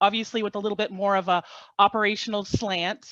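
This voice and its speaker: A woman with an American accent, talking very fast against a quiet background. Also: dry, close sound with no echo. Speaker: government agency field operations official. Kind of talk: webinar presentation.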